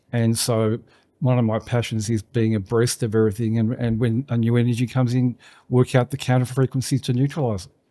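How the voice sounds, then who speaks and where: The man's dark, mellow voice moves at a fairly quick pace in a flat monotone, with a dry, close sound and no echo. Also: medium pitch for a man, very clean recording, silent background. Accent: Australian. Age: 60s. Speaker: business owner. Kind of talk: casual interview.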